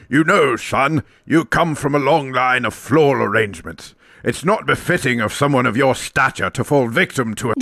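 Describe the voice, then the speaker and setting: A man's cartoonish character voice at medium pitch and moderate pace. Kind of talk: posh upper-class. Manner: pompous, genteel.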